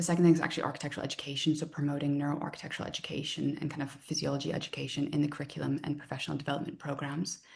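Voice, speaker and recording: Speaking at a very fast pace with hardly any pauses, a woman delivers her words in a very deep, low pitch and a monotone, flat intonation against noticeable background noise. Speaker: design researcher and lecturer. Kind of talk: research talk.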